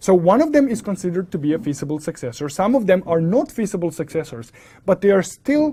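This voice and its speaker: This voice carries a non-native accent. Its delivery is fairly brisk. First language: not English. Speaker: networking instructor. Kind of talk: lecture. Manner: explanatory, self-correcting.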